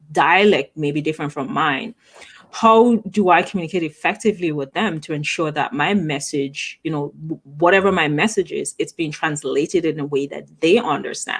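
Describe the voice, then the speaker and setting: In an Antiguan accent, a woman talks at a moderate pace in a fairly low pitch with ordinary pitch variation. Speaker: talk show host. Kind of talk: interview.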